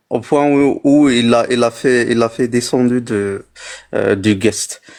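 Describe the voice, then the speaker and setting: Speaking with an Algerian accent, a man uses a medium pitch and ordinary pitch variation. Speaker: livestream guest. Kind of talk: heated debate. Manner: halting.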